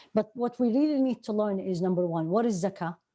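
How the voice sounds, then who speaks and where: With an Arabic accent and a dark, mellow tone, a woman talks at a fairly quick pace against a quiet background. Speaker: Islamic teacher. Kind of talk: lecture.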